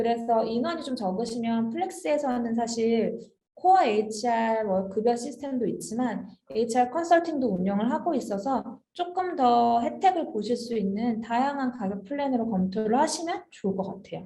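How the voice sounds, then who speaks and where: A woman with a plain, everyday voice, fairly high in pitch, lively in intonation, at a moderate pace. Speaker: HR software consultant presenting a webinar. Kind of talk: webinar Q&A. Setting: online webinar.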